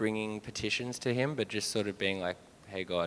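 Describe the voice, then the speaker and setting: At a moderate pace, a man with a medium pitch speaks with an Australian accent. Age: 20s. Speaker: church member. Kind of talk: testimony. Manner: halting.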